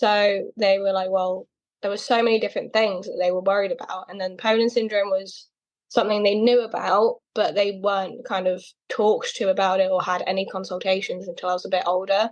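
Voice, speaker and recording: A woman with a British accent speaks at medium pitch. Her pace is fairly quick and her intonation monotone and flat. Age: 20s. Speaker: person with a rare condition, model. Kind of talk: interview. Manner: casual, hesitant with fillers.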